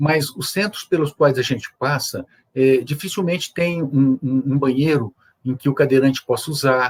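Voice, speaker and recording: A somewhat breathy male voice, fairly high-pitched, at a moderate pace with ordinary pitch variation, in a dry, close recording without echo. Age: 60s. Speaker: judge and wheelchair user guest. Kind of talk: interview on accessibility. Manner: hesitant, many filler 'é'.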